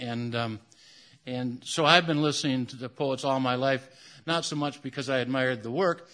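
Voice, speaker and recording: Against a quiet background, a man talks in a plain, everyday voice at a medium pitch and a moderate pace, with ordinary pitch variation. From US Midwest, Michigan. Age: 60s. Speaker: poet. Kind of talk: poetry reading. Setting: stage with audience.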